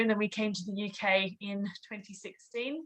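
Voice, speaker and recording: A woman speaks at a medium pitch with an Australian accent. Her tone is bright and sharp. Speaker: property investor. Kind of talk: interview.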